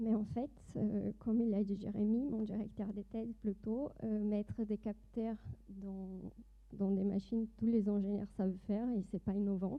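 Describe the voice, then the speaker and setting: A woman's medium-pitched voice in a Brazilian accent, fairly slow, with monotone, flat intonation. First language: Portuguese (speaking French). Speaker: doctoral student and industry project manager. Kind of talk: conference presentation. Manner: hesitant, many fillers.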